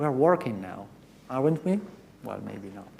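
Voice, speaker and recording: Audible room echo fills the recording. A man with a fairly high voice speaks in an American accent. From Italy. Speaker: professor. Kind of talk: conference talk. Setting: stage with audience. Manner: interactive, engaging with audience.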